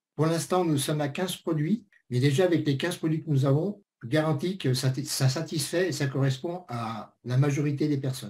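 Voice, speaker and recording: A man speaks at a moderate pace with hardly any pauses, his fairly high voice somewhat breathy. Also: ordinary pitch variation. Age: 60s. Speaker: network marketing presenter. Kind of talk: sales pitch. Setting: webinar.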